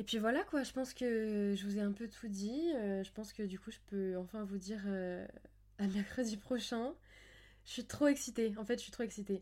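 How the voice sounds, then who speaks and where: A woman's dark, mellow tone at a fairly high pitch, with ordinary pitch variation and a moderate pace. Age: 20s. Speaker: podcast host. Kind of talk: solo monologue, casual. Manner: hesitant, with many fillers.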